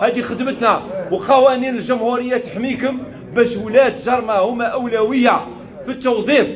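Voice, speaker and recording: An angry man speaks in an extremely high pitch amid noticeable background noise. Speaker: provincial governor. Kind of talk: official public response. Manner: forceful, angry.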